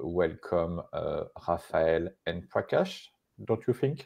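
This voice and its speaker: A man speaks with a French accent against a quiet background. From France. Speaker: live show co-host. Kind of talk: live stream conversation. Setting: live stream. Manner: halting, many fillers. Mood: friendly, smiling. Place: home room. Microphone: earbuds.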